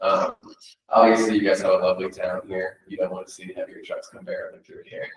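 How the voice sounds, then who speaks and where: Fairly quick delivery from a man, loudness swinging in big amounts. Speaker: nonprofit advocacy representative. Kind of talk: public presentation to a county board. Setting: county commissioners meeting. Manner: casual, many filler words.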